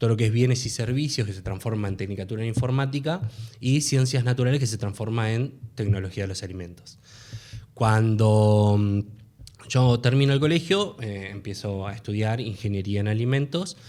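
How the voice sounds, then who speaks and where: Speaking at a moderate pace, a man uses a dark, mellow tone at a medium pitch with ordinary pitch variation. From Argentina, Buenos Aires western suburbs (Merlo). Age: 30s. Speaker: food technologist, university student. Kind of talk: casual interview.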